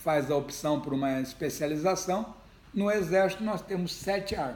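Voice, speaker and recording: A man talks at a moderate pace with ordinary pitch variation while audible room echo fills the space. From Brazil, Ribeirão Preto (São Paulo state). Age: 60s. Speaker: retired army general and politician. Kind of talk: interview.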